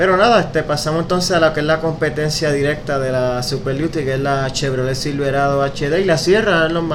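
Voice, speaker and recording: Noticeable background noise surrounds a man talking at a fairly quick pace and a fairly high pitch. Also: ordinary pitch variation, hardly any pauses. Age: 20s. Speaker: car podcast host. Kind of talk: casual chat.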